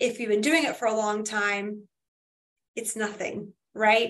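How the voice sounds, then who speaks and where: With an American accent, a woman speaks at a moderate pace in a fairly high pitch, an ordinary speaking voice. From Florida. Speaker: mortgage lender. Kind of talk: interview.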